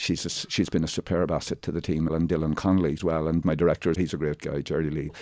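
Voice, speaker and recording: A very deep, low-pitched man with a Monaghan accent and a dark, mellow tone, talking at a very fast pace with hardly any pauses against a quiet background. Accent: Irish (Ulster border, Monaghan). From Ireland, County Monaghan. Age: 60s. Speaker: actor and theatre writer. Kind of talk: radio interview. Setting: radio studio. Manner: animated, with false starts and repetitions.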